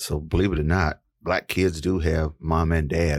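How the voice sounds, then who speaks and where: On a very clean recording with a silent background, a man with a very deep, low voice and an American accent speaks at a moderate pace with fairly even intonation. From East Texas. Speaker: podcast host. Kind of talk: interview.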